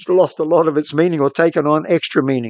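A man's fairly high voice with a New Zealand accent, fairly quick and fairly even in intonation, dry and close with no echo over a quiet background. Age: old. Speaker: radio host. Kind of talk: solo reflective monologue.

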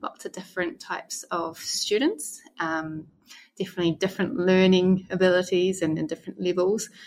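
A woman with a New Zealand accent speaks at a moderate pace and medium pitch, with ordinary pitch variation. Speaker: former English teacher in Korea. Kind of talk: casual interview chat. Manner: hesitant, filler-heavy.

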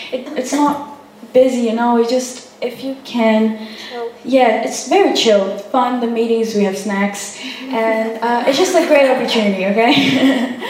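A woman's high-pitched voice at a fairly slow pace, with ordinary pitch variation over noticeable background noise. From Brazil. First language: Portuguese. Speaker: youth social media manager. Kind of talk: public talk. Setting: cafe with live audience.

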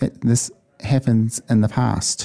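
Dry and close with no echo, a man's dark, mellow voice at medium pitch moves at a very slow pace. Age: 40s. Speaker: community radio participant. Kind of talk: interview.

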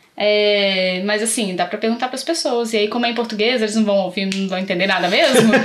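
A woman's very fast speech with hardly any pauses, over noticeable background noise. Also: medium pitch for a woman, ordinary pitch variation. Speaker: community radio co-host. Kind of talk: casual chat. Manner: animated, laughing often.

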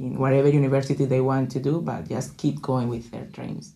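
Speaking in a Colombian accent, a woman uses a very deep, low pitch, fairly even intonation and a moderate pace. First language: Spanish. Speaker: student club president. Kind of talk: casual chat. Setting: studio.

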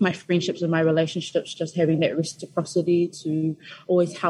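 A woman with a New Zealand accent speaks at a moderate pace in a dark, mellow tone, her intonation flat and monotone. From Christchurch, New Zealand. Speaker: student association officer. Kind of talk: radio interview. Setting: radio studio.

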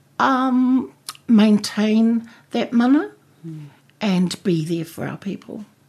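A woman with a fairly high, somewhat breathy voice speaks very slowly, leaving long, frequent pauses, her intonation lively and her loudness swinging widely. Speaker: poet and playwright. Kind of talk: radio interview. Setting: radio studio. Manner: hesitant, many fillers.

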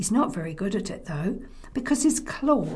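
The passage is read out plainly. It is plain reading aloud.

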